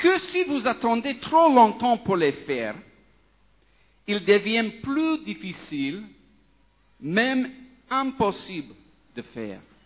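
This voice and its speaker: A man with a non-native accent speaks at a very slow pace and an extremely high pitch, with very wide pitch swings and long, frequent pauses. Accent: foreign accent in French. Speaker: pastor, children's ministry worker. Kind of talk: sermon. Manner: halting, many hesitations.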